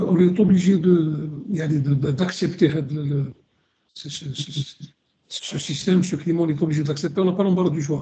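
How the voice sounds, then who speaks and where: A man's fairly high pitch with a dark, mellow tone, fairly even intonation and a moderate pace. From Algeria. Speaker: radio co-host, historian. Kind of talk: radio discussion. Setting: live radio broadcast. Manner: halting, many repetitions.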